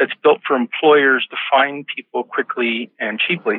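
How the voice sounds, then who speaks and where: In an American accent, a man with a plain, everyday voice and a fairly high pitch speaks at a moderate pace. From United States. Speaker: executive recruiter and author. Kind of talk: podcast interview.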